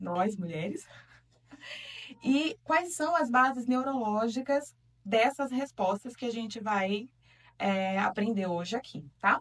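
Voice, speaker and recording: A woman with a northeastern Brazilian accent, fairly high pitch, lively intonation, a very slow pace and long, frequent pauses. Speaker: talk show host. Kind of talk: talk show discussion. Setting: studio.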